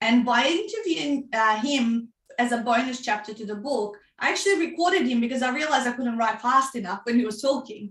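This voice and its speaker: With a Macedonian accent, a woman talks at a high pitch and a fairly quick pace, with hardly any pauses. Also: ordinary pitch variation. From North Macedonia. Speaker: author and book coach. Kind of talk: interview.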